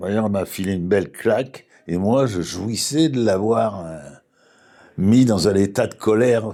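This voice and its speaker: The man's medium-pitched voice sits in a very clean recording against a silent background. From southern France (Toulouse), then Paris from age 12. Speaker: philosopher and spiritual speaker. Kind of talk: reflective interview conversation. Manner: halting, with frequent false starts.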